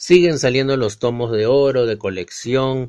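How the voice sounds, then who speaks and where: A man speaks with a Peruvian accent at a medium pitch. His pace is fairly slow. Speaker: podcast host. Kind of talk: casual chat.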